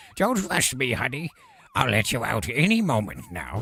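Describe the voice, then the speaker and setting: A man performs a put-on character voice. His pitch is medium and his pace moderate. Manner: sinister, cloyingly sweet.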